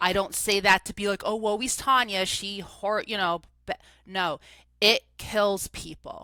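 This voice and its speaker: In a New Jersey accent, a woman talks at a medium pitch and a fairly slow pace, with ordinary pitch variation and a bright, sharp tone. The sound is dry and close with no echo, and the recording is very clean against a silent background. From New Jersey, US. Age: 40s. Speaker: recovery coach. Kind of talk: interview testimony. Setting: podcast studio. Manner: animated.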